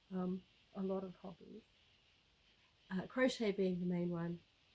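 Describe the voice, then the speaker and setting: Somewhat breathy and dark, mellow in tone, a woman talks at a fairly slow pace with a medium pitch and monotone, flat intonation. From South Africa. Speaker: YouTuber, homesteader. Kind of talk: casual vlog talk to camera. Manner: relaxed, many fillers and repetitions.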